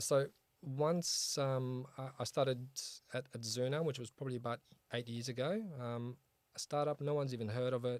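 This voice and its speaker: With an Australian accent, a man talks at a moderate pace and medium pitch. His intonation is fairly even. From Australia (Sydney), born in Poland. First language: Polish. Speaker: start-up founder and CEO. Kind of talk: interview on a start-up show. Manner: casual, many fillers.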